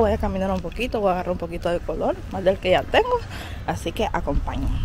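A woman's fairly quick speech, dry with no echo, over light background noise. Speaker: vlogger. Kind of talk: casual vlog chat. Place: street. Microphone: phone near.

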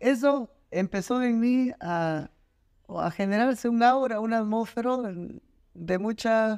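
A male voice, very clean recording, background completely silent. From Peru, Lima. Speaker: designer and university lecturer. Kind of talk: interview.

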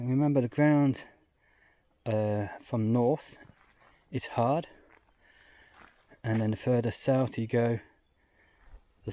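Against light background noise, a man speaks in a dark, mellow tone. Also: dry sound with no echo. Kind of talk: casual vlog commentary. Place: forest. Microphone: phone near.

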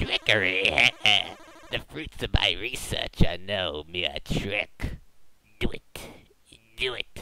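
A man uses a put-on, raspy character voice with a sinister tone and a very deep, low pitch. He speaks at a fairly slow pace with long, frequent pauses. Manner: creepy, sinister.

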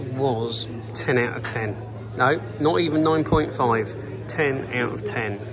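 Clear music sounds behind the voice. The speaker is a man. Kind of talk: casual vlog chat. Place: shop. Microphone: phone near.

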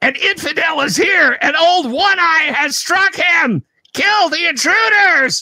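A female-sounding, put-on character voice shouts at an extremely high pitch and a fairly slow pace. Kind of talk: tabletop game narration, character voice. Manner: shouting, alarmed, hostile.

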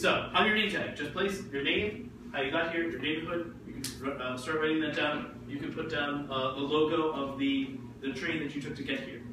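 A man's fairly high voice with an American accent, ordinary pitch variation and a moderate pace, plus audible room echo and noticeable background noise. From New Jersey, Jersey City. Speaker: ESL grammar teacher. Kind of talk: classroom teaching. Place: classroom. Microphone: camera far.

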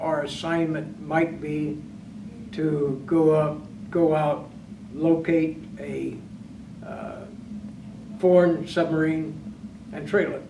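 Over noticeable background noise, a man with a fairly high pitch speaks with long, frequent pauses and big swings in loudness. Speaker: retired navy submariner, master chief. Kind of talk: oral history interview. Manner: halting. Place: meeting room.

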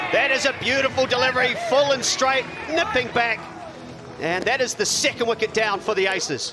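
A man with an extremely high pitch uses a raised, projected voice and lively intonation, keeping his loudness very even over noticeable background noise. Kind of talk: sports commentary highlights. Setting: cricket ground commentary. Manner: fast, clipped play-by-play delivery; rising excitement at wickets and the tense finish.

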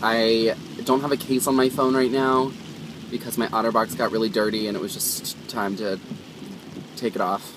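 A man speaks at a moderate pace with ordinary pitch variation. The sound is dry with no echo, and background noise is noticeable. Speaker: vlogger driving. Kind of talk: casual vlog chat. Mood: cheerful, relaxed. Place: car. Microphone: phone near.

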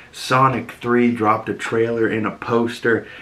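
The man has an unremarkable speaking voice, fairly low in pitch. He talks at a fairly slow pace. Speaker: pop culture news host. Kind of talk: casual vlog commentary. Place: home room.

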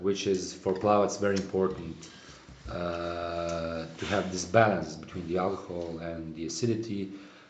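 In audible room echo with light background noise, a man with a very deep, low pitch speaks at a moderate pace with fairly even intonation. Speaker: winemaker host. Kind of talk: interview answer. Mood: calm, explanatory.

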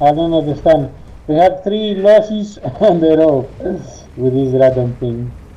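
Lively intonation from a man with a fairly high pitch, at a fairly slow pace with long, frequent pauses. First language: Greek. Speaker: gamer. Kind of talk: casual gameplay chat. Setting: online voice chat. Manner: halting. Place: home room.

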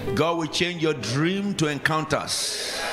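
With a Nigerian accent, a man speaks at a high pitch and lively intonation over noticeable background noise. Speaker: preacher. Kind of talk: sermon. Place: church. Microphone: handheld.

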